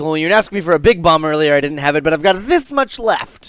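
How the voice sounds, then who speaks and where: A man's fairly high, put-on character voice at a very fast pace, on a very clean recording with a silent background. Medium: actual play.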